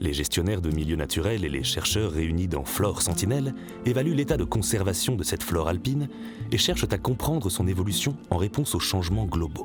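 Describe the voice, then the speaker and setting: This man's very deep, low pitch moves in very wide swings at a fairly quick pace. Music sits behind him. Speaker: voice-over actor. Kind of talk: explainer narration for animated film. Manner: friendly, guide-like.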